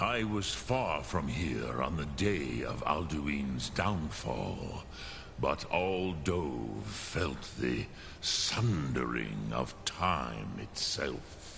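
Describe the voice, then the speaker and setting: Through loud background noise, a man uses a put-on character voice with a solemn tone at a very slow pace. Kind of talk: epic fantasy game voice acting. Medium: video game. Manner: slow, solemn, measured, sprinkled with dragon words.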